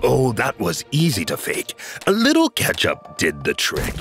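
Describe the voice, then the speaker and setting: Cartoonish character voice from a man at a moderate pace. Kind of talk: cartoon comic acting. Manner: proud, matter-of-fact, cheerfully deranged.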